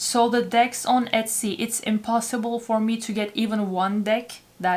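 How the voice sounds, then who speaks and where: A woman with a non-native accent talks at a fairly slow pace in a fairly high pitch, her intonation monotone and flat. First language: not English. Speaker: tarot reader. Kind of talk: tarot reading intro to camera.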